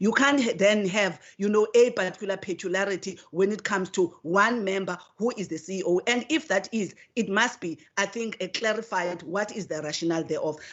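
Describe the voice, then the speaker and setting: Talking at a fairly quick pace, a woman uses a medium pitch with ordinary pitch variation. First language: not English. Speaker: committee member, legislator. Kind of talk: committee hearing debate. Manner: halting, many repetitions; formal.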